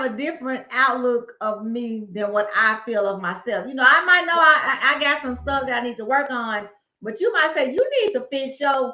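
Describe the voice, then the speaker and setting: A woman uses a raised, projected voice with a high pitch. Her intonation is lively and her pace moderate. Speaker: podcast co-host. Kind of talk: casual chat. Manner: loud.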